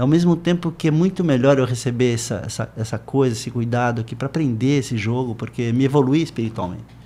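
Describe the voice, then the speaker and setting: Very fast, a man talks in a dark, mellow tone. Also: medium pitch for a man, ordinary pitch variation, hardly any pauses. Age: 60s. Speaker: surfer and surf educator. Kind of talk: interview conversation. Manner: animated.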